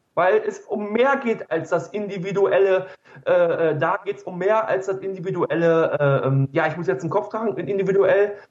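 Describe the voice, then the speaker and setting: Pitched high, a man talks at a moderate pace while his pitch varies in an ordinary way. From Ruhr area, Germany. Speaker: blogger and educator. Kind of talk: casual chat.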